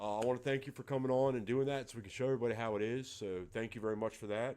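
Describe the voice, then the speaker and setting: A man's medium-pitched voice, dark and mellow in tone, with ordinary pitch variation at a fairly quick pace. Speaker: darts livestreamer. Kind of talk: casual livestream chat. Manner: soft-spoken.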